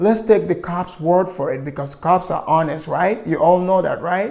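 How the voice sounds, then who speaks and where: Delivery moves at a moderate pace. It comes with a non-native accent. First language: not English. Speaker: political commentary vlogger. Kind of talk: opinion commentary monologue. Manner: impassioned.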